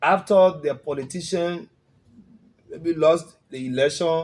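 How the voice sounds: A man speaks at a fairly slow pace with a fairly high pitch, a slightly mellow tone and ordinary pitch variation.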